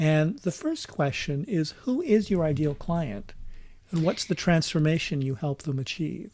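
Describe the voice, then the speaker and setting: A normal speaking voice with lively intonation at a fairly slow pace. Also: man, fairly high pitch for a man. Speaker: podcast host. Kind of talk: casual interview.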